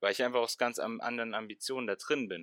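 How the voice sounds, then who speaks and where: Speaking fairly quickly, a man's voice comes through dry and close, with no echo. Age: 20s. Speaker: fitness science student. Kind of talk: casual chat. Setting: video call.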